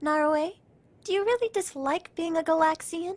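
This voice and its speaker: A woman's squeaky, put-on character voice at an extremely high pitch, moderate pace, dry, close sound with no echo. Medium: fan dub. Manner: blunt, casual.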